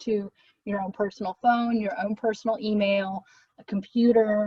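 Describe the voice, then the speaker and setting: A woman talks at a moderate pace in a fairly high pitch. Her voice is somewhat breathy, and her intonation stays fairly even. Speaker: volunteer program staff member. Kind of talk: virtual info session presentation.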